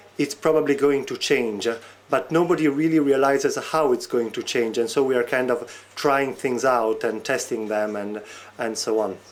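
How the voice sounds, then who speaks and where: At a moderate pace, a man with a slight non-native accent speaks with ordinary pitch variation. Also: medium pitch for a man. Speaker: researcher on e-democracy. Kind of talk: interview. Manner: hesitant, many fillers.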